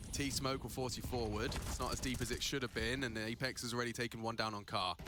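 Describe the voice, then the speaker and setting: The speech goes at a very fast pace with music in the background. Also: man, medium pitch for a man. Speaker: esports caster. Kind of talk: live commentary. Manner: animated.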